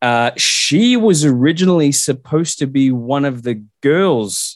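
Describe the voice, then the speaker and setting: Speaking with an Australian accent, a man talks at a fairly slow pace. His pitch is fairly high and his intonation lively. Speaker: guest co-host filling in. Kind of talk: casual chat.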